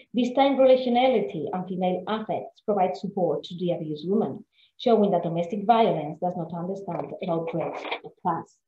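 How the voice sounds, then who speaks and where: A woman talks at a fairly quick pace with hardly any pauses, big swings in loudness and ordinary pitch variation. Audible room echo and light background noise sit behind her. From Spain. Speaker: literature scholar; guest lecturer. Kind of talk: lecture. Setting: video call.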